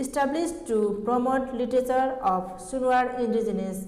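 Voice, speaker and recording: With a Nepali accent, a woman speaks at a moderate pace with ordinary pitch variation, amid noticeable background noise and audible room echo. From eastern Nepal. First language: Sunuwar. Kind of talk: formal presentation. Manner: formal.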